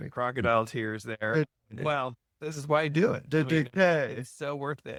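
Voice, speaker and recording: This man has an ordinary speaking voice, fairly high in pitch, with ordinary pitch variation, big swings in loudness, and a moderate pace in a dry, close sound with no echo. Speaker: podcast host. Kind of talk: podcast interview talk.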